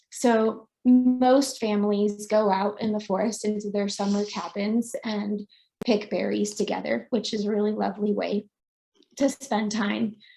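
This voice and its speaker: A woman of medium pitch speaks at a fairly slow pace, her somewhat breathy voice carrying a dark, mellow tone and monotone, flat intonation. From Finland. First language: Finnish. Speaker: foraging author and nature educator. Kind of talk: online presentation.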